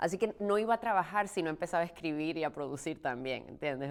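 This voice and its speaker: Lively intonation runs through a woman's speech. The recording is very clean, and the background is silent. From Puerto Rico. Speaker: stage actress. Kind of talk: interview.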